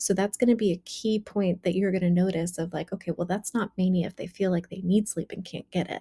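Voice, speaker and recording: A woman talks very fast with hardly any pauses in a somewhat breathy voice with a dark, mellow tone and fairly even intonation, the sound dry and close with no echo. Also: medium pitch for a woman. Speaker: clinician teaching mental health diagnosis. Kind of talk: lecture. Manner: rapid delivery, faster than usual.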